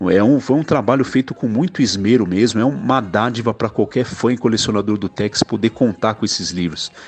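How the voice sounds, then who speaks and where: A man talks at a fairly quick pace with hardly any pauses. He has a plain, everyday voice, medium in pitch with ordinary pitch variation. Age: 40s. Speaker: IT worker, comic fan. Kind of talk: recorded testimonial message.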